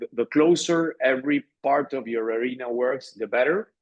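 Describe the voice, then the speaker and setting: Speaking with a Spanish accent, the man has a medium pitch and ordinary pitch variation. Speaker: arena general manager. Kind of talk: interview. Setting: podcast. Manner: halting, many fillers.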